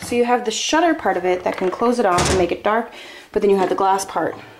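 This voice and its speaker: A woman talks at a very fast pace amid noticeable background noise. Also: long, frequent pauses. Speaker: traveler vlogger on a farm stay. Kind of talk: casual vlog house tour. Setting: indoors, walking through a house. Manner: hesitant, many fillers.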